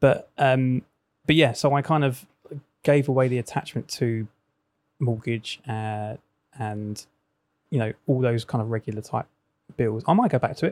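Spoken with an English accent at a moderate pace with long, frequent pauses, the voice has ordinary pitch variation and a dry, close sound with no echo. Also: man, medium pitch for a man. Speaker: coach and former DJ. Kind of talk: casual chat.

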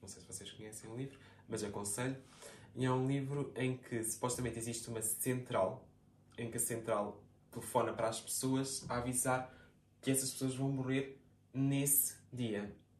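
A man at a medium pitch, moderate pace and monotone, flat intonation, with long, frequent pauses, big swings in loudness and audible room echo. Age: 20s. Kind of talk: casual chat.

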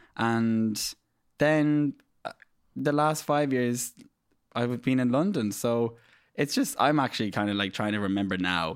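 With an Irish Midlands accent, the speaker uses lively intonation at a fairly slow pace, leaving long, frequent pauses. The recording is very clean with a silent background. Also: man, medium pitch for a man. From Ireland, County Laois, Midlands. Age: 30s. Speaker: makeup artist. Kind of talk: casual interview chat. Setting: studio. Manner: animated.

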